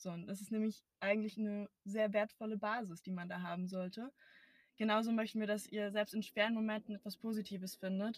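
A woman talks at a fairly quick pace and a medium pitch, her voice somewhat breathy. Her intonation is monotone and flat, and the sound is dry and close with no echo. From Brandenburg, Germany. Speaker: podcast co-host. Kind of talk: casual chat. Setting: in a car.

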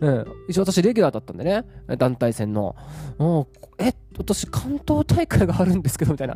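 Against noticeable background noise, a man with a high pitch talks at a fairly quick pace, his pitch swinging very widely. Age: 30s. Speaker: rapper and bodywork therapist. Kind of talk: solo podcast talk. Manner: casual, filler-heavy.

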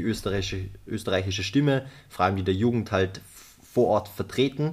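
The man's voice sits fairly low. His delivery is very fast. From Austria, Vorarlberg. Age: 20s. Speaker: UN youth delegate and climate activist. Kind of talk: podcast interview. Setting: studio, face to face. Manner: hesitant, many filler sounds.

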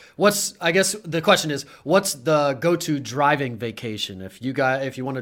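This man has an ordinary speaking voice with an American accent. His intonation is lively and his pace is moderate. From Pennsylvania, Harrisburg. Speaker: podcast host and realtor. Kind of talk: casual live-stream interview.

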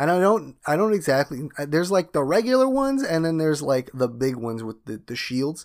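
Over a silent background in a very clean recording, a man speaks fairly quickly in an animated tone with lively intonation. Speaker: podcast host. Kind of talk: casual banter. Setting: studio. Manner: joking, animated.

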